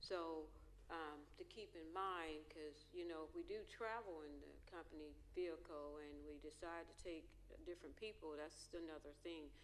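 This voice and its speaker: A woman at a moderate pace amid audible room echo. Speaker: school board trustee. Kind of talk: board meeting discussion. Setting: board auditorium.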